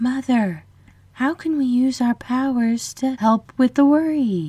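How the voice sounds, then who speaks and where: High in pitch and fairly slow, a female-sounding voice delivers a put-on character voice. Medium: read story.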